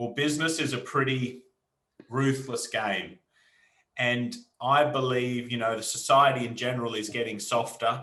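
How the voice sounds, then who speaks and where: With an Australian accent, a man speaks at a moderate pace and medium pitch in a flat, monotone way, with audible room echo. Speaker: entrepreneur. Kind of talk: interview.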